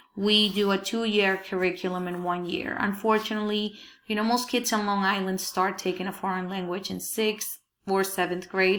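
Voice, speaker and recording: A woman with a Spanish accent speaks at a moderate pace, her medium-pitched voice held in a flat monotone. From Peru. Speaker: Spanish teacher. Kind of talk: presentation to parents. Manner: hesitant, many fillers.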